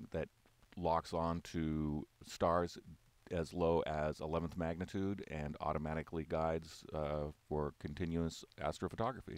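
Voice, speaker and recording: A man speaks with a very deep, low pitch. His fairly slow delivery has a monotone, flat intonation. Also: dry sound with no echo. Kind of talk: product walk-through commentary. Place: hall. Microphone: phone near.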